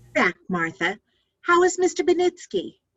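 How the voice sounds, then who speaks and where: A woman uses a put-on character voice, squeaky and extremely high. She keeps a moderate pace. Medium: stage play.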